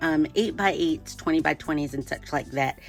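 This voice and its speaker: A woman's very deep, low voice with music in the background. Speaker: artist, painter. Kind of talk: art tutorial talk to camera. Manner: casual, friendly, hesitant with many fillers.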